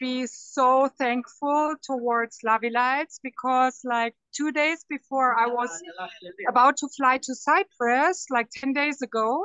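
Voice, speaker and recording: A woman speaks very slowly in a high pitch with a non-native accent. Her intonation stays fairly even. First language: not English. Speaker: network marketing partner. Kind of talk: testimony. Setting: airport, traveling.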